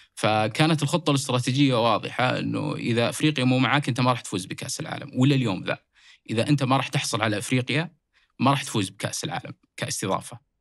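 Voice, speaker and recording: Fairly quick speech with vocal fry and ordinary pitch variation. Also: man, medium pitch for a man. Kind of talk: casual sports discussion.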